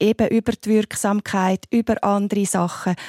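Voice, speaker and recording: A plain, everyday voice moves along at a moderate pace. The sound is dry and close with no echo, recorded very cleanly over a silent background. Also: woman. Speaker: family doctor and homeopath. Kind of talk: radio panel discussion.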